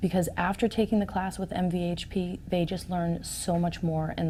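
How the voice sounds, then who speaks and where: A woman talks at a fairly quick pace in a flat monotone, her fairly low, somewhat breathy voice dark and mellow in tone. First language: Portuguese. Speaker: real estate agent. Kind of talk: interview.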